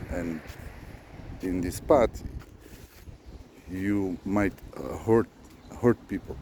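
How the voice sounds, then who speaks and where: Against noticeable background noise, a man talks very slowly in a very deep, low voice. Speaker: spiritual vlogger. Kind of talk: unscripted monologue. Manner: slow, deliberate; halting, many fillers.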